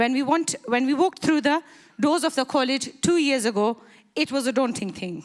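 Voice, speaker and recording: A shaky woman's voice, high-pitched, with lively intonation and a moderate pace. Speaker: graduating student. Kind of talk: graduation speech. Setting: stage with audience.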